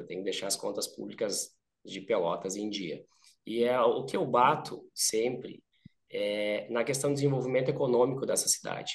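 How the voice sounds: A hoarse, put-on character voice at a moderate pace. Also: man, medium pitch for a man.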